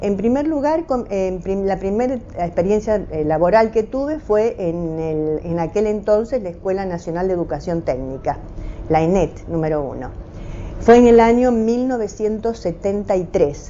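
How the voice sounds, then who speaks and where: Amid noticeable background noise, a woman speaks fairly slowly at medium pitch with lively intonation. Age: 70s. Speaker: retired teacher. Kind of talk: oral history interview. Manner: halting, many hesitations.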